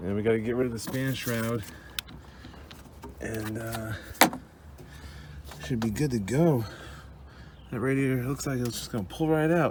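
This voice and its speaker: A man at a medium pitch talks at a moderate pace with ordinary pitch variation and long, frequent pauses, over noticeable background noise and audible room echo. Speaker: DIY truck mechanic. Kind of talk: tutorial. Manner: casual, profane.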